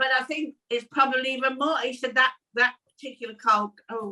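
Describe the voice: A woman speaks with a high pitch and a bright, sharp tone. Her pitch varies in an ordinary way. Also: fairly quick pace.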